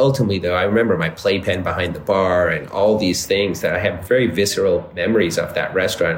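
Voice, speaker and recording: A man with an American accent talks at a very fast pace with hardly any pauses. Audible room echo surrounds his voice. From Texas, Dallas. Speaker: entrepreneur. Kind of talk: interview.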